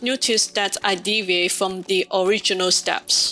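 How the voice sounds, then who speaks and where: A woman with a non-native accent talks at a fairly slow pace. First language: not English. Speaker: home baker, cooking video host. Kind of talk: scripted narration. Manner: formal.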